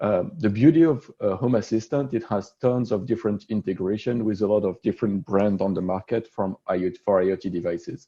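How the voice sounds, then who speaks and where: A man speaks at a fairly low pitch with a French accent. His tone is dark and mellow, over a quiet background. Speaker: solutions architect presenting at a tech meetup. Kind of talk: technical presentation.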